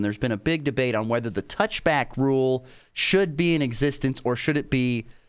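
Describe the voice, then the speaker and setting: A man with a plain, everyday voice at a medium pitch, at a fairly quick pace. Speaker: radio sports talk host. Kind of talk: radio sports talk show debate.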